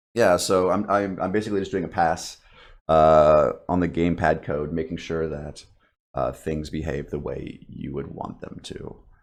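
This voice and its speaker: Against a quiet background, a man speaks at a moderate pace in a very deep, low pitch. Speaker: indie game developer streaming. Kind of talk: live development stream chat. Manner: casual with many fillers.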